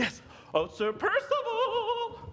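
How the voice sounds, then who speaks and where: A man does a squeaky, put-on character voice with a clear echo. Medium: stage play. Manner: goofy, laughing at own jokes.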